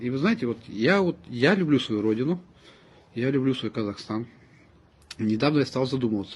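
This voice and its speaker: Long, frequent pauses break up this man's speech. He keeps a moderate pace at a medium pitch. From Kazakhstan, Semey. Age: 40s. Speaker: ethnic Russian resident speaking about language. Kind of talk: personal statement to camera. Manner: earnest, emphatic.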